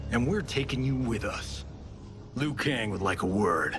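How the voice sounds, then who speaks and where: Over loud background noise, a man uses a put-on character voice at a moderate pace. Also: medium pitch for a man. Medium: video game.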